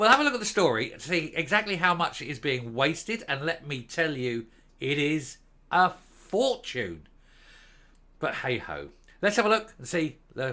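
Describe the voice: A man's fairly high, bright, sharp voice with very wide pitch swings and big swings in loudness, at a moderate pace with long, frequent pauses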